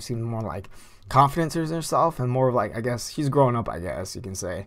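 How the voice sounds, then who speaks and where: In a room with audible echo, a man talks in an animated tone at a very fast pace and medium pitch. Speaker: anime youtuber. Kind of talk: casual video commentary. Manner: casual, animated.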